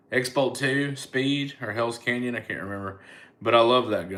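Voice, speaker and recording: In an American accent, a man speaks at a medium pitch with ordinary pitch variation. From US South, Mobile, Alabama. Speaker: comedian. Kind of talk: casual chat. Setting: livestream. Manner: casual, stammering repetitions.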